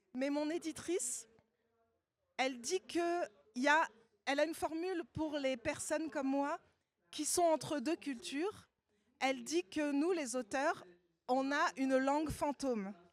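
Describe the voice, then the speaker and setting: Speaking with a Parisian accent, a woman uses a high pitch and ordinary pitch variation at a fairly slow pace. Long, frequent pauses break up her speech, and the sound is dry and close with no echo. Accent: Parisian suburban French. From Paris suburbs, France. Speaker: novelist. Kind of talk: literary panel talk.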